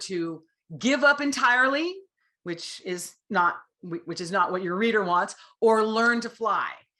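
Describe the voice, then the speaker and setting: A woman speaks with a bright, sharp tone at a fairly high pitch. Her delivery is animated, with lively intonation. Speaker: author and writing instructor. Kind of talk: lecture.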